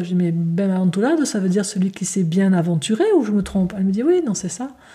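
Somewhat breathy, a woman speaks in a dark, mellow tone. Her pitch variation is ordinary. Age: 50s. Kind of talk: spiritual talk. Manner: gentle; halting.

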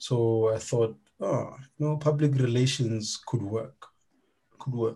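The tone is dark and mellow, somewhat breathy. The pace is fairly slow. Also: man. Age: 30s. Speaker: podcast host and fitness coach. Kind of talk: casual chat. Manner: informal, laughing.

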